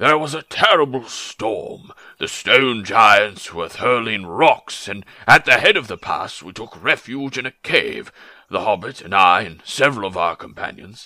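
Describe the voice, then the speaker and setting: A man's put-on character voice at a medium pitch. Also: moderate pace. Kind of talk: dramatic book reading in a character voice. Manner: polite, tactful, a little evasive.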